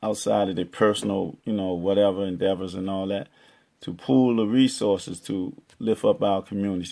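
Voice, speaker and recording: Fairly low in pitch, a man speaks at a moderate pace with fairly even intonation. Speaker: poet, chess-metaphor motivational speaker. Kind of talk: motivational community talk to camera.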